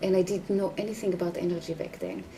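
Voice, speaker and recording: Noticeable background noise surrounds a woman speaking with an Israeli accent. Her intonation is monotone and flat. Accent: Hebrew. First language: Hebrew. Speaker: healer and dancer. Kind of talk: interview.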